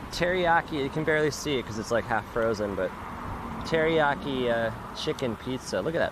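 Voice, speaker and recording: A man talks at moderate speed, with noticeable noise in the background. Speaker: travel live streamer. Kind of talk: casual live stream vlog. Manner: casual, rambling filler words.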